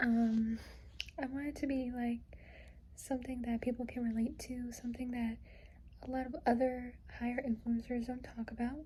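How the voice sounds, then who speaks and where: Noticeable background noise sits behind a woman with a high pitch and monotone, flat intonation. She talks at a moderate pace, leaving long, frequent pauses. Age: young. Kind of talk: casual talk to camera. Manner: emotional.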